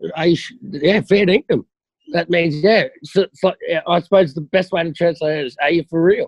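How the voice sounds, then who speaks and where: A man with a broad Australian accent speaks at a moderate pace in a high pitch, with ordinary pitch variation and a dry, close sound with no echo. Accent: Australian, broad (ocker). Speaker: military veteran. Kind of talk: casual chat.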